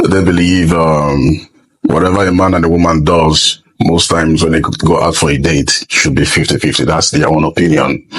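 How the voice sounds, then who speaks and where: The speaker talks at a moderate pace in a Nigerian accent, with monotone, flat intonation. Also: man, very deep, low pitch for a man. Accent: Nigerian Igbo English. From eastern Nigeria (Igbo). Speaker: comedian and MC. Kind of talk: casual interview.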